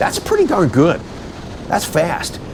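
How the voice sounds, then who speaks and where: With noticeable background noise behind him, a man speaks at a moderate pace in an enthusiastic tone. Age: 60s. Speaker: car channel host and car dealer. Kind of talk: casual vlog sign-off; narrated track day video commentary.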